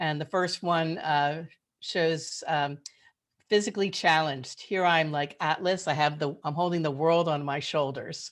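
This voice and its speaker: A woman with an American accent speaks at a fairly slow pace. Hers is a plain, everyday voice with a fairly low pitch. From Philadelphia, US. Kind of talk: webinar presentation. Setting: video call.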